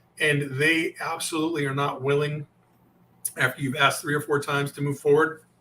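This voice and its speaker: Noticeable background noise surrounds a man whose voice sits fairly high. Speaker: sales coach. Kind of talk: interview with role-play of sales objections. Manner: fast; animated.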